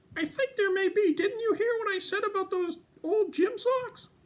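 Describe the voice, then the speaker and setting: This is a cartoonish character voice with an extremely high pitch. It moves at a moderate pace. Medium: puppet.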